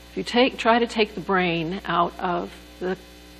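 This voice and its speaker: A woman speaks at a fairly slow pace. Background noise is noticeable. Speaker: neuroanatomy lecturer. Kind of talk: lecture. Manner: soft-spoken, doesn't project.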